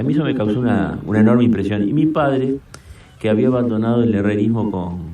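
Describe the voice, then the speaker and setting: Noticeable background noise sits behind a man speaking at a fairly quick pace. His pitch is fairly low, with ordinary variation. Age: 70s. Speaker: senator. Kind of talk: radio interview. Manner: halting, with frequent fillers.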